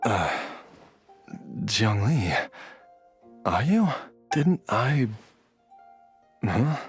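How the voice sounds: Over faint music in the background, a man in a put-on character voice speaks at a very slow pace, fairly low in pitch with big pitch swings and a husky, rough edge.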